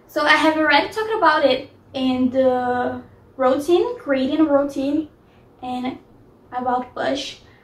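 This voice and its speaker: A woman with a non-native accent, high-pitched, with ordinary pitch variation, at a moderate pace. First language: not English. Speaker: lifestyle vlogger. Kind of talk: casual advice vlog. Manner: hesitant, with fillers.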